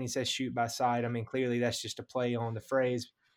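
A man speaks at medium pitch and a fairly quick pace with a Southern US accent. His intonation is fairly even, on a very clean recording with a silent background. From Mississippi. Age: 30s. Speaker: pastor and hunter. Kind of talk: casual interview.

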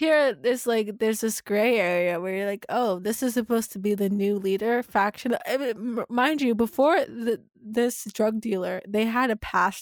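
Enthusiastic in tone, a woman speaks with a fairly high pitch and ordinary pitch variation. She keeps a moderate pace with hardly any pauses. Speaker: podcast co-host. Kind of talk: casual chat, episode recap podcast. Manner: casual, enthusiastic, filler-heavy.

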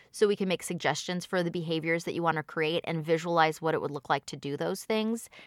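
A woman talks at a fairly quick pace in an ordinary speaking voice, her pitch fairly low with ordinary variation. The sound is dry and close with no echo, a very clean recording over a silent background. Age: 40s. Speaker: hypnotherapist and life coach. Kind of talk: casual interview.

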